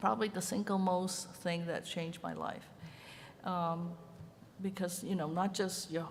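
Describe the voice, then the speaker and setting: Somewhat breathy, a woman with a Chinese accent speaks in fairly even intonation with long, frequent pauses, amid audible room echo. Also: medium pitch for a woman, fairly slow pace. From Hong Kong. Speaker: ceramic artist. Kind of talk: conference panel talk. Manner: hesitant, with many fillers.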